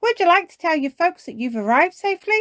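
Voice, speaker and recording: A put-on character voice, squeaky and raised to a projected level, races along at a very fast pace and an extremely high pitch. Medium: read story. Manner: hospitable, warm.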